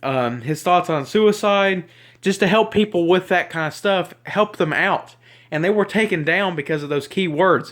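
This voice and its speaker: In a very clean recording with a silent background, a man with a Southern US accent speaks in a high voice at a moderate pace with ordinary pitch variation. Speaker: YouTuber. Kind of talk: rant. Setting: self-recorded video. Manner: halting, rambling.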